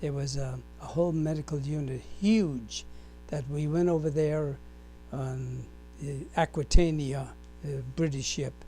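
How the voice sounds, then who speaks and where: A man with an American accent at a fairly slow pace, long, frequent pauses, and music in the background. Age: 90s. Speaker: war veteran. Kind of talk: oral history interview. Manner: halting.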